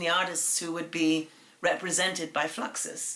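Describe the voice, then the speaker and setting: A woman with a British accent at a moderate pace, noticeable background noise behind her. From England. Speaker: artist. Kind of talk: interview. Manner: hesitant with fillers.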